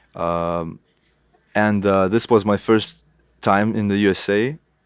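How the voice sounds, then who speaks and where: The sound is dry and close, with no echo, on a very clean recording with a silent background. Intonation stays fairly even. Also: man. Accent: Lithuanian. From Lithuania, Kaunas. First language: Lithuanian. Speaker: illustrator. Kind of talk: interview. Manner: halting.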